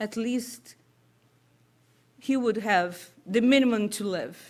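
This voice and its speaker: A woman speaks at a very slow pace in a Brazilian Portuguese accent. Her pitch is fairly high. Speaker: spiritist speaker. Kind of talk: talk at a public meeting. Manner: halting.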